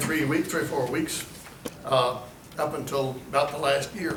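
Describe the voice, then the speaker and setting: Noticeable background noise sits under this recording. A man speaks at a moderate pace in a fairly high pitch. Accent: Arkansas. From Arkansas, USA. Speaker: retired county judge. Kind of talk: storytelling talk to a historical society meeting. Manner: folksy, casual, hesitant.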